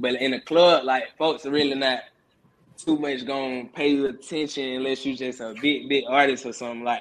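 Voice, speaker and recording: In an Atlanta accent, a man with a medium-pitched voice speaks at a moderate pace with fairly even intonation. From Atlanta, Georgia (US South). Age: 20s. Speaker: rapper. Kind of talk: casual interview.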